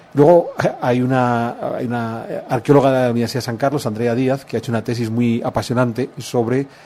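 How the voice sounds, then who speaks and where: At a moderate pace, a man with a Spanish accent speaks with fairly even intonation. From Spain. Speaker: historian. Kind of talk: interview.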